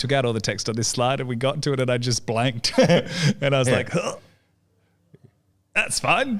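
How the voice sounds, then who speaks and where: A man talks at a fairly quick pace with an Australian accent. His pitch is medium. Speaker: podcast host, marketing agency general manager. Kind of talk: podcast host talk.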